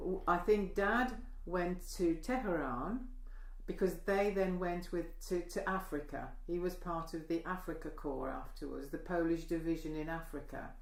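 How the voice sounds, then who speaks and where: Audible room echo accompanies speech at a fairly slow pace with ordinary pitch variation. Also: woman, medium pitch for a woman. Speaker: oral history interviewee. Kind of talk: oral history interview. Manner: halting.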